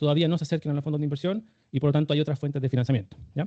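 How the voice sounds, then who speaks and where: A man's fairly high voice at a very fast pace. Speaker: startup fundraising instructor. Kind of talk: online workshop lecture.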